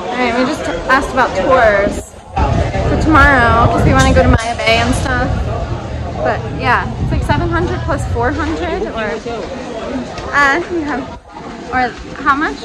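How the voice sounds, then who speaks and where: Clear music plays in the background as a woman speaks at a moderate pace with long, frequent pauses. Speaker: travel vlogger. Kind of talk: casual vlog chat. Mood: excited, upbeat. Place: street. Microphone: phone near.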